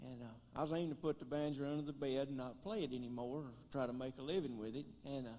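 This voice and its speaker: A man of medium pitch with a dark, mellow tone races along at a very fast pace, with ordinary pitch variation and hardly any pauses. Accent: strong Tennessee. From US South, West Tennessee (Gleason). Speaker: banjoist and comedian. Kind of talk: stand-up.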